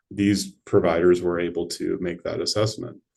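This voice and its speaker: His tone is dark and mellow. The man moves at a fairly quick pace. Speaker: neurologist. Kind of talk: lecture. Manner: fast.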